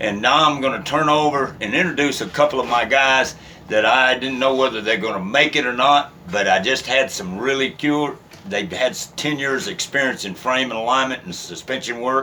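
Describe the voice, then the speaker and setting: The speaker has a West Texas accent and ordinary pitch variation. Noticeable background noise runs under the voice. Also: man, medium pitch for a man. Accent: West Texas drawl. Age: 60s. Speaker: business owner. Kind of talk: casual introductions on camera. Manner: halting, many fillers.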